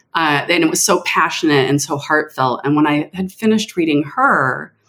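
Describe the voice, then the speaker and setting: A woman at a moderate pace with an ordinary speaking voice. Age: 50s. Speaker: author. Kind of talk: interview.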